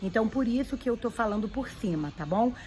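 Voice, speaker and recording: Music plays in the background as a woman speaks at a medium pitch with ordinary pitch variation. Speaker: YouTuber giving immigration advice. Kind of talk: vlog tutorial.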